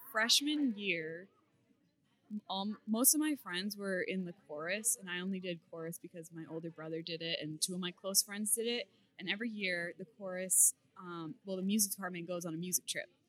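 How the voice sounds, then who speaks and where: A woman with an American accent speaks at a medium pitch in a bright, sharp tone. Her pace is moderate and her pitch variation ordinary. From Massachusetts, Beverly. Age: 20s. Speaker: competitive weightlifter and powerlifter. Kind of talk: casual interview.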